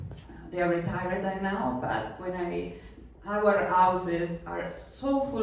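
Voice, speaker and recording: A woman at a fairly low pitch and a very slow pace, amid noticeable background noise and audible room echo. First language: Italian. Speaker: novelist. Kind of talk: literary event talk. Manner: halting.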